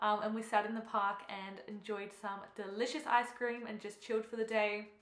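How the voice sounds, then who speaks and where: A woman with an Australian accent speaks at a moderate pace and a fairly high pitch with fairly even intonation, amid audible room echo and noticeable background noise. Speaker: fitness coach and bikini competitor vlogger. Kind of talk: vlog voiceover. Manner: casual, chatty.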